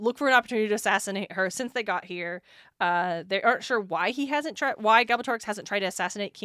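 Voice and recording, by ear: The words are read aloud in a natural voice.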